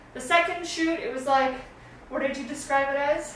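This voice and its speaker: In a room with audible echo, a woman speaks at a moderate pace and a high pitch with ordinary pitch variation. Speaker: stop motion app content creator. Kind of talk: tutorial; casual chat. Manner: casual with fillers.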